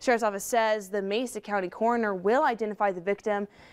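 A woman with an American accent at a fairly quick pace, her intonation fairly even. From United States, Colorado. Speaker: local TV news anchor. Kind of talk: late evening newscast read of a developing murder story. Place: studio.

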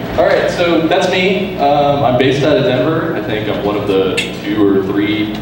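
Strong room echo and noticeable background noise accompany a man speaking at a moderate pace. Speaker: conference keynote speaker. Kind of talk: keynote talk. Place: hall.

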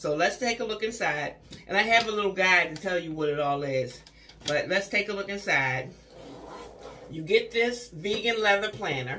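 At a moderate pace, a woman with a medium pitch speaks with lively intonation over light background noise. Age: 50s. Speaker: beauty vlogger. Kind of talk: product haul review. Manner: chatty, conversational. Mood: cheerful, chatty. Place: bathroom. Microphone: phone near.

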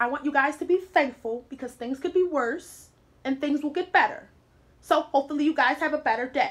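A woman talks at a fairly quick pace. Her pitch is high, with ordinary variation. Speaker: vlogger. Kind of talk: spoken word talk to camera. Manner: casual, conversational. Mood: warm, encouraging. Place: home room. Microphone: phone near.

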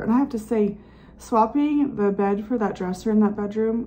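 A woman's voice is somewhat breathy, with a dark, mellow tone. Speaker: home vlogger. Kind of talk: casual vlog chat. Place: home room. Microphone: phone near.

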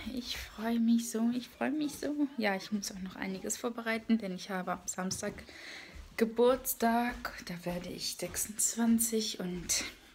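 This woman speaks at a fairly slow pace with ordinary pitch variation. Light background noise sits underneath. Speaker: vlogger. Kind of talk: casual vlog chat. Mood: cheerful, relaxed. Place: home room. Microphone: phone near.

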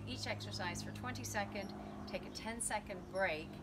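A woman speaks over loud background noise. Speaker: fitness instructor. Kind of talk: tutorial. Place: garden. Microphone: camera far.

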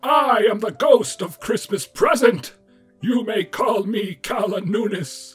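A man's put-on character voice, high in pitch and fairly slow in pace, with faint music in the background. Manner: shouting, enthusiastic.

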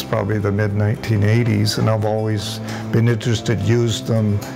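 Clear music plays in the background as a man speaks with a fairly low pitch. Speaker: community volunteer rebuilding laptops. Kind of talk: interview answer. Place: workshop. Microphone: lapel.

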